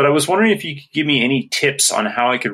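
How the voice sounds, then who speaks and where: A man with a Canadian accent speaks in a bright, sharp tone. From Canada, Saskatchewan. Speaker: listener asking a question. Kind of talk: recorded voice question.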